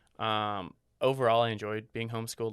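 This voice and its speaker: A man with an American accent speaks at a fairly quick pace in monotone, flat intonation. The recording is very clean, with a silent background. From Missouri, US Midwest (Columbia area, rural). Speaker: event videographer. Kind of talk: podcast interview. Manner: casual with many fillers.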